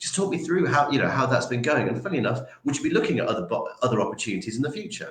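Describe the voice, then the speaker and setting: A man talks at a very fast pace, and the room echo is audible. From Yorkshire, northern England. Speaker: recruitment trainer. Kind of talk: interview. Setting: livestream. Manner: many fillers and repetitions.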